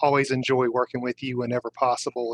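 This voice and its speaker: In a Southern US accent, a man talks at a moderate pace with a dry, close sound and no echo. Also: quiet background. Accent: decidedly Southern US. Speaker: scrum master. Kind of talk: live webinar interview.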